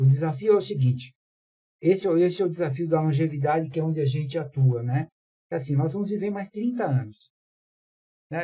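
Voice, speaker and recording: With a dark, mellow tone and fairly high pitch, a man speaks at a fairly quick pace with lively intonation. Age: 70s. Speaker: panel guest on ageism. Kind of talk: panel discussion. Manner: hesitant, many fillers.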